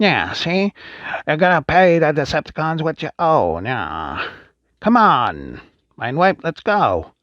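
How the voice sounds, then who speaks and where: In a put-on character voice, a man speaks with a fairly high pitch at a fairly slow pace. The background is quiet. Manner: tough, threatening.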